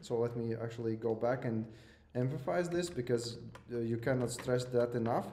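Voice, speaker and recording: Audible room echo surrounds a man with a non-native accent who speaks at a medium pitch with fairly even intonation. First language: not English. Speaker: lecturer. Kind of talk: lecture. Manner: hesitant, many fillers and repeats.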